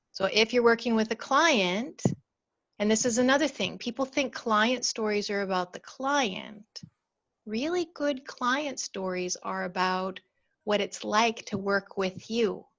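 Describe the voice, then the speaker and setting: A woman with a fairly high pitch speaks at a fairly slow pace in a calm tone, her pitch varying in an ordinary way. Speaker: storytelling coach. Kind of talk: webinar talk. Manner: calm and slow.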